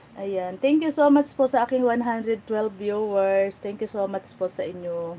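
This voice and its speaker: A woman speaks in a dark, mellow tone at a fairly slow pace. Light background noise sits behind her. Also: lively intonation. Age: 40s. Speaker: lifestyle vlogger. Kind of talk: livestream chat. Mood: reflective, personal. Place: home room. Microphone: phone near.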